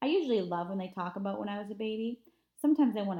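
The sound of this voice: Heard against a quiet background, an unforced reading voice carries lively intonation.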